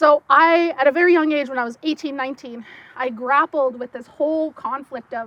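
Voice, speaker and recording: In a slight French accent, a woman speaks at a moderate pace in a raised, projected voice that is high-pitched with a bright, sharp tone and ordinary pitch variation, the sound dry and close with no echo. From Saskatchewan, Sturgeon Lake First Nation reserve. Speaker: archaeologist and science educator. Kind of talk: talk to an audience.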